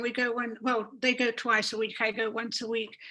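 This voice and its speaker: A woman is speaking. Her pitch is high. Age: 80s+. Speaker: community member. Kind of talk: casual chat. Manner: halting.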